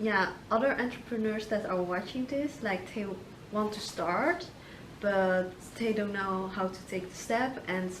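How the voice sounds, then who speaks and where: A woman speaks at a medium pitch and a fairly slow pace, with a Dutch accent. Noticeable background noise and audible room echo fill the recording. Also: ordinary pitch variation. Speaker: video marketer and interviewer. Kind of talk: interview.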